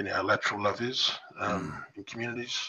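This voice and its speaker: A man's bright, sharp voice at a fairly quick pace. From New England tablelands, NSW, Australia. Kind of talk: casual chat. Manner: halting.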